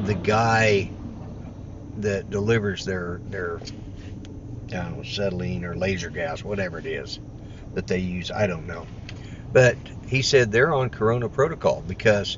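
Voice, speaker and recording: A man at a moderate pace and fairly low pitch, with big swings in loudness, a dry sound with no echo, and noticeable background noise. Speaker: vlogger driving. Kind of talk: casual vlog chat. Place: car. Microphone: phone near.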